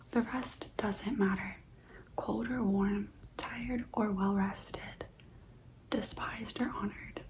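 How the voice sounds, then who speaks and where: A soft-spoken whisper over noticeable background noise. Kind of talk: ASMR stoic affirmations, guided reflection. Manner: soft-spoken, whispered, calming.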